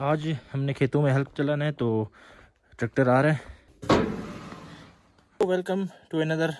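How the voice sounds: Pausing long and often, a man talks at a fairly slow pace with a fairly high pitch, ordinary pitch variation and a slightly mellow tone.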